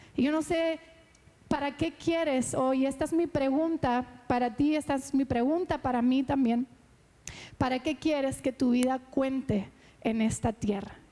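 A woman speaks with a high pitch and a dark, mellow tone at a fairly slow pace, her loudness very even and her intonation fairly even. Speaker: pastor. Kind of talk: sermon.

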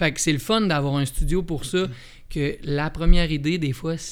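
A man's fairly high-pitched, ordinary speaking voice at a moderate pace with ordinary pitch variation. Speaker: musician. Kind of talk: casual interview.

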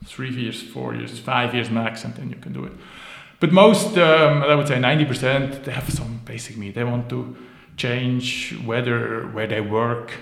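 Long, frequent pauses break up a man's speech, which has ordinary pitch variation, with noticeable background noise and audible room echo. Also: medium pitch for a man, moderate pace. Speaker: business founder and board advisor. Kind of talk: interview. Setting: office.

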